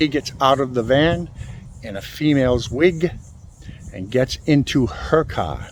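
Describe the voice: A man speaks at a medium pitch and a fairly slow pace, with ordinary pitch variation.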